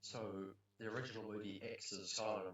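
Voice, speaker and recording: A man's fairly low-pitched voice in a New Zealand accent. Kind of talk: casual movie ranking talk. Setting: poor home recording. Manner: rambling, hesitant.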